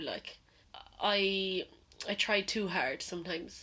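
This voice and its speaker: This woman speaks with an Irish accent. Her pitch sits in the medium range. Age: 20s. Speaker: podcast co-host. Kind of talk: casual chat. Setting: garden shed makeshift studio.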